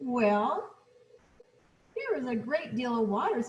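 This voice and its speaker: A woman puts on a character voice at a high pitch. She speaks at a fairly slow pace. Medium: read story.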